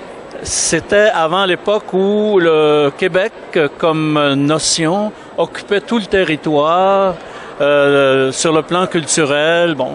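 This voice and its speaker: Through noticeable background noise, a man speaks very slowly in a high voice with ordinary pitch variation. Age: 70s. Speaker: author's godson discussing a book. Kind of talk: interview. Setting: book fair.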